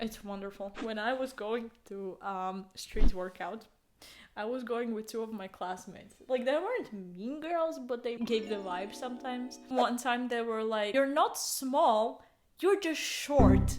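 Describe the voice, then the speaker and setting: A woman's fairly high voice at a fairly slow pace, lively in intonation, with music in the background. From Latvia. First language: Latvian. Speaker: podcast co-host. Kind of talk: casual chat.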